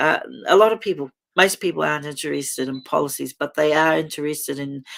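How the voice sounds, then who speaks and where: This woman's voice has vocal fry. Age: 50s. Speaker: political party co-leader. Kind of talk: reading aloud; live stream chat. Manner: halting.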